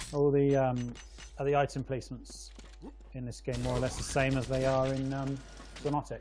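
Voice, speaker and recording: The speaker talks at a fairly quick pace with an English accent, broken by long, frequent pauses. Noticeable background noise runs underneath. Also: man. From England. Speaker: game caster. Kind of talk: live commentary.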